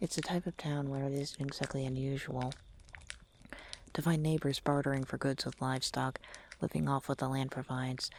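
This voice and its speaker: A man with a fairly high pitch talks in a calm tone and a monotone, flat intonation. His pace is fairly quick, broken by long, frequent pauses. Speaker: vtuber, ASMR creator. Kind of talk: ASMR creepypasta reading. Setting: home microphone recording with ambient fire sounds. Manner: soft-spoken, calm, storytelling.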